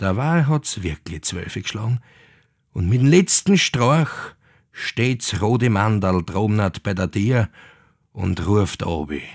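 A man with a fairly low voice speaks at a very slow pace with lively intonation and long, frequent pauses. The sound is dry and close, with no echo. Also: very clean recording, silent background. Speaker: actor reading legends. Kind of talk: old folk tale narration in dialect. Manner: animated, dialect-coloured.

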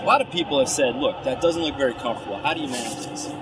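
A man talks while loud noise fills the background. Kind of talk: casual vlog demonstration. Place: forest. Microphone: camera far.

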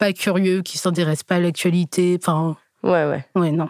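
A woman speaks in a fairly low, monotone voice with flat intonation, recorded very cleanly against a silent background with a dry, close sound and no echo. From Burgundy, France (Joigny). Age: 20s. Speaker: dating show participant. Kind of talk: interview. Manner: hesitant.

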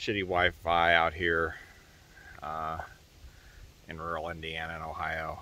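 Light background noise sits behind a man's very deep, low voice, which sounds dry with no echo. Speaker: travel vlogger. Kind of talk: casual vlog chat. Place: open country. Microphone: phone near.

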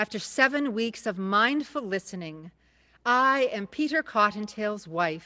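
A natural voice, reading aloud

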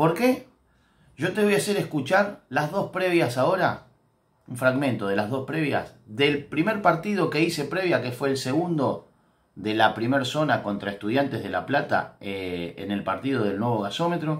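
A man speaks with an Argentine accent and very wide pitch swings. The background is quiet. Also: moderate pace. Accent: Rioplatense Argentine Spanish. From Argentina. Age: 50s. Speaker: former football player and coach, football commentator; coach, football commentator. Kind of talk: football analysis monologue. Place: home room. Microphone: phone near.

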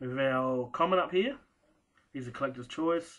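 A man speaks at a fairly quick pace in an Australian accent. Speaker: sports card collector and first-time video maker. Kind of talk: casual show-and-tell video. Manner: casual and hesitant, many fillers. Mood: relaxed, pleased. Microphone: webcam.

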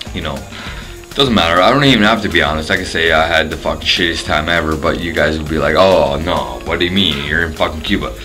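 A man with a very deep, low pitch talks at a very fast pace with hardly any pauses. Clear music plays in the background. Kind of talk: casual vlog chat. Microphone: phone near.

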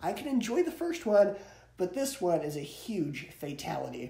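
A high-pitched man's voice, dark and mellow, with vocal fry, big pitch swings, a moderate pace and audible room echo

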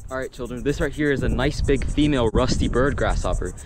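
A man talks at a very fast pace, his voice dry with no echo over noticeable background noise. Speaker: nature content creator. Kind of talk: educational field commentary. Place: open country. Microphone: phone near.

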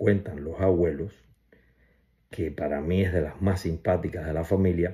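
A dark, mellow tone, somewhat breathy, against a quiet background. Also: man. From Cuba. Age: 60s. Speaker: family member giving tribute. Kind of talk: personal video message. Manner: casual, hesitant with fillers. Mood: warm, fond, reminiscing. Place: home room.

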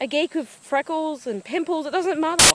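A woman's voice is heard with a dry sound and no echo. There is light background noise. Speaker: vlogger. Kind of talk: angry rant. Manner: impassioned, indignant; emphatic, repetitive. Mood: annoyed, ranting. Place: garden. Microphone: phone near.

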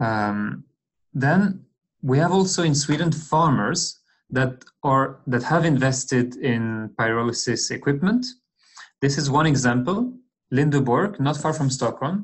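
A man talks at a fairly slow pace with ordinary pitch variation. His voice is somewhat breathy. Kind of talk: lecture. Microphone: webcam.

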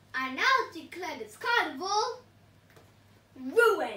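In a put-on character voice, a woman speaks shrilly at a fairly slow pace, her extremely high pitch swinging very widely. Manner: screeching.

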